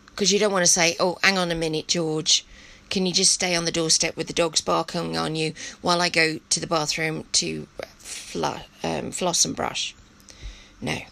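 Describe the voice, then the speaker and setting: At a moderate pace, a woman speaks with an English accent. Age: 50s. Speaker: podcast host. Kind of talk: personal monologue. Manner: hesitant, many fillers.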